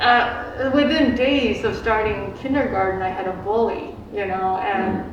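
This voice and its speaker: A woman with a fairly high pitch and ordinary pitch variation talks fairly slowly, with hardly any pauses, amid noticeable background noise and audible room echo. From Philippines, raised in US from age five. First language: Filipino dialects. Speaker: Tai Chi teacher and clinic practitioner. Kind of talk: community forum testimony. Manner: halting, many repetitions.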